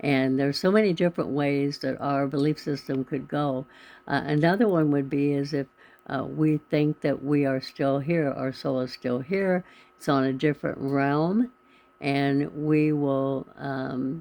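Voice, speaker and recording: A woman's very deep, low voice, dark and mellow in tone, at a fairly slow pace. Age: 70s. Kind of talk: casual talk to camera.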